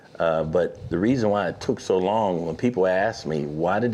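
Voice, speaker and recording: A man with an American accent speaks at a moderate pace in a fairly low pitch, his dark, mellow tone carrying ordinary pitch variation. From Pittsburgh, Pennsylvania. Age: 60s. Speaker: author. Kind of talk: interview.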